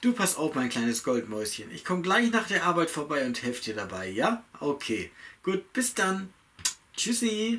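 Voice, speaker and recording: At a fairly slow pace, a man talks in a high pitch with very wide pitch swings. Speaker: actor in a commercial. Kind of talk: acted dialogue. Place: home room.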